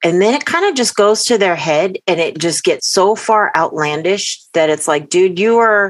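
A woman with an ordinary speaking voice talks at medium pitch and a moderate pace, with hardly any pauses. Her intonation is lively and her loudness very even. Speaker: paranormal podcast co-host. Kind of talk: casual chat. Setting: remote call.

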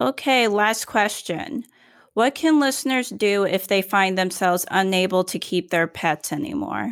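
Speaking fairly slowly in a plain, everyday voice, a woman keeps a medium pitch and lively intonation on a very clean recording with a silent background. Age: 20s. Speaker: podcast co-host. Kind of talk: casual chat.

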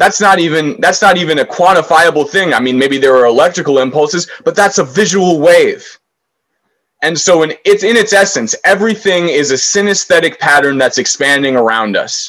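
At a fairly quick pace, a man speaks in a high pitch with an American accent. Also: lively intonation. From Washington DC. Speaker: musician in recovery. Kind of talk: interview.

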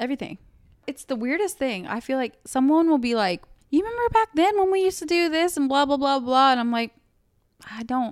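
Animated and high-pitched, a woman speaks at a fairly quick pace with very wide pitch swings. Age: 20s. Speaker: podcast co-host. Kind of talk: casual chat.

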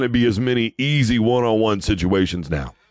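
At a fairly slow pace, a man speaks in a medium pitch with ordinary pitch variation. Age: 30s. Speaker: sports radio host. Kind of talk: sports talk monologue. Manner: animated.

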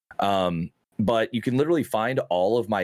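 A man speaks at a fairly low pitch with ordinary pitch variation. The recording is very clean with a silent background, dry and close with no echo. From Oklahoma. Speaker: streamer. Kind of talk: casual chat.

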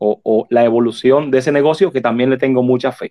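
This is a man speaking at a medium pitch. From Dominican Republic. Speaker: shop owner and board game creator. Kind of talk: interview. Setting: online audio room.

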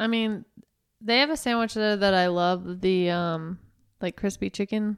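A woman at medium pitch speaks in a plain, everyday voice, with ordinary pitch variation and a fairly slow pace. The recording is very clean, with a silent background. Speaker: nurse. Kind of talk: casual chat.

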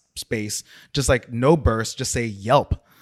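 A man speaks in a normal speaking voice at a medium pitch and moderate pace, with a dry, close sound with no echo on a very clean recording with a silent background. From South Orange, New Jersey. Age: 40s. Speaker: designer. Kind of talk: casual chat.

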